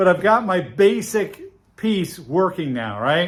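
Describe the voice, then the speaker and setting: This man's voice is loud and high-pitched, with lively intonation. He talks very slowly on a very clean recording with a silent background. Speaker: knifemaker hobbyist youtuber; military veteran. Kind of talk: workshop tutorial. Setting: workshop forge with earplugs in. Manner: casual, filler-heavy.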